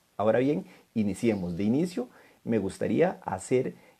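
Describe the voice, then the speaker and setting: Against a quiet background, a man with a Costa Rican accent speaks at a moderate pace in a dark, mellow tone with lively intonation. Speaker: law lecturer. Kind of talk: lecture. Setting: online live stream.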